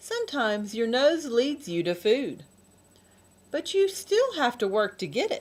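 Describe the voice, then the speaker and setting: A woman uses a put-on character voice, high-pitched with a gentle tone. She speaks at a moderate pace. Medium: read story. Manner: patient, gentle.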